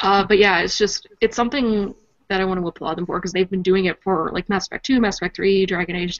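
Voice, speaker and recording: The intonation is fairly even. Words come out at a very fast pace. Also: woman, medium pitch for a woman. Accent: Canadian. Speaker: podcast co-host.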